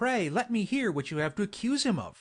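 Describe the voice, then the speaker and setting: A man puts on a character voice, pitched high with very wide swings. He talks at a fairly quick pace. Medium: read story.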